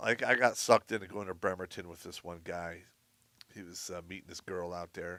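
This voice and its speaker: In a very clean recording with a silent background, a man does a raspy put-on character voice at a very deep, low pitch and a fairly quick pace, with fairly even intonation and big swings in loudness. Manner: speaking quietly, hard to hear.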